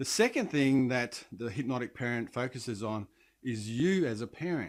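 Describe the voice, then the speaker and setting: A man with an Australian accent, medium pitch and ordinary pitch variation, at a moderate pace, in a very clean recording with a silent background. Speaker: parenting coach and leadership trainer. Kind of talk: direct-to-camera talk.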